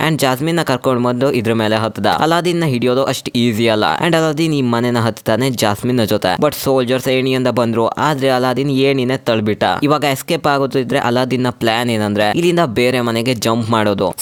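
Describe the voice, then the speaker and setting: A man's normal speaking voice, medium in pitch, with very even loudness and ordinary pitch variation. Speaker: movie explainer narrator. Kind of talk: casual movie recap narration. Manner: joking, conversational.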